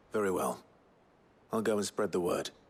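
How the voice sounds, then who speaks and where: This man uses a put-on character voice, raspy and fairly low in pitch. He keeps a moderate pace. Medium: video game. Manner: grave, restrained.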